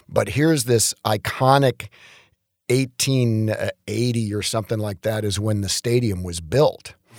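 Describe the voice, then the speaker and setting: A normal speaking voice from a man with an American accent, fairly low in pitch with ordinary pitch variation, at a fairly slow pace, dry and close with no echo on a very clean recording with a silent background. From Detroit, Michigan (US Midwest). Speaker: chiropractor. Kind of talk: casual interview.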